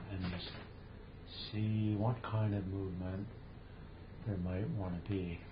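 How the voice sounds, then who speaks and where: A man's fairly low, monotone voice with flat intonation, a very slow pace and long, frequent pauses, over noticeable background noise. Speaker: meditation teacher. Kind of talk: guided meditation. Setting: video call. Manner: slow, calm, soothing with long pauses; gentle, invitational.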